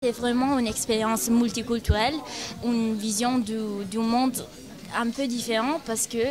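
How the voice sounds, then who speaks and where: Music plays in the background as a woman with a fairly high voice talks in monotone, flat intonation. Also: moderate pace. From Italy, Milan. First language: Italian (speaking French). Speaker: university exchange student. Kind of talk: interview testimony. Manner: halting, many hesitations.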